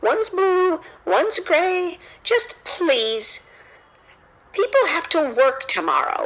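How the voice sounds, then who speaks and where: Squeaky and put-on, the character voice swings very widely in pitch at a fairly slow pace, broken by long, frequent pauses. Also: woman, extremely high pitch for a woman. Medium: audio drama. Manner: indignant, exasperated.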